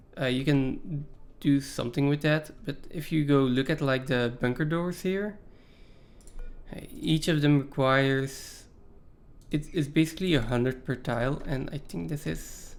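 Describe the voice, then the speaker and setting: A man talks at a moderate pace with a non-native accent. His fairly high voice shows ordinary pitch variation. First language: not English. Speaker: video game streamer. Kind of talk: live gameplay commentary. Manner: casual, hesitant with fillers.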